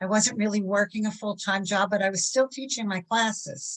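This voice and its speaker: A woman talks at a moderate pace with ordinary pitch variation and a somewhat breathy voice. The sound is dry and close, with no echo. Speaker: novelist and fitness instructor. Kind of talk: panel webinar discussion. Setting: online webinar.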